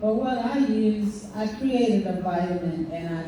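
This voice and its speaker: A woman speaks at a very slow pace with ordinary pitch variation. Noticeable background noise runs under her voice. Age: 60s. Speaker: hair care panelist. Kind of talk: panel discussion. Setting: panel event with audience.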